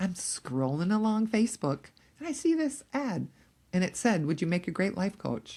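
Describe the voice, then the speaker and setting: A woman speaks at a medium pitch. Her voice moves in very wide pitch swings. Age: 60s. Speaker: empty nest coach and podcast host. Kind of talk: casual chat.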